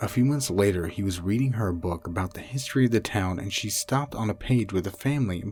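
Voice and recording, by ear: Someone is reading aloud in a natural voice. The delivery stays natural throughout.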